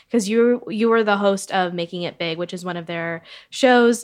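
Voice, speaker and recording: A woman with a plain, everyday voice speaks fairly quickly at a medium pitch with ordinary pitch variation, on a very clean recording with a silent background. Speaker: media editor and podcast host. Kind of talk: podcast interview.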